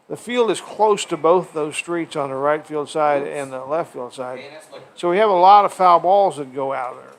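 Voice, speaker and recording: A man talks at a moderate pace with a fairly high pitch. His loudness swings widely, and there is noticeable background noise. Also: ordinary pitch variation. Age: 70s. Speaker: baseball play-by-play announcer. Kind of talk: live commentary. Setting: press box at a ballpark. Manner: casual.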